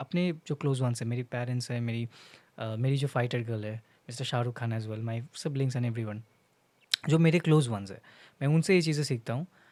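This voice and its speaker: This man's voice has a dark, mellow tone, a medium pitch and ordinary pitch variation. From India, Bengal. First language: Bengali (speaking Hindi). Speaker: content creator. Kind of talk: casual vlog monologue. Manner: halting, many fillers, Hindi-English code-switching.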